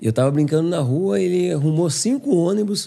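Dark, mellow in tone, the voice moves at a moderate pace. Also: man. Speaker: former footballer. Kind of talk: casual interview chat.

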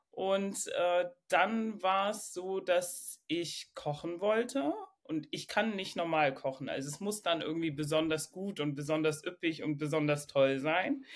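A normal speaking voice from a woman, fairly low in pitch and fairly slow, with lively intonation and hardly any pauses. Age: 30s. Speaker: coaching client. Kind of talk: personal coaching conversation.

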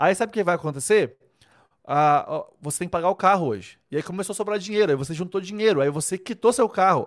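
On a very clean recording with a silent background, a man talks at a very fast pace. His voice is high, with ordinary pitch variation. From Brazil, Rondônia (Vilhena). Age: 30s. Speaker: wedding photographer and online mentor. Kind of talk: casual livestream talk to viewers. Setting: live stream. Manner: animated, informal.

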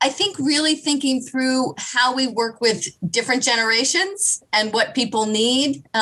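Speaking in an American accent, a woman projects a raised, high-pitched voice at a fairly slow pace, lively in intonation, very even in loudness and with hardly any pauses. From US Midwest, Kansas City. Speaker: nonprofit chief executive. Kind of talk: interview conversation.

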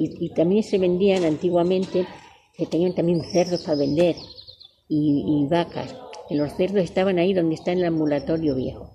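Over noticeable background noise, a woman talks at a moderate pace in a fairly low voice with ordinary pitch variation. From Salamanca province, Spain. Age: 70s. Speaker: elderly villager sharing memories. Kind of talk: oral history interview.

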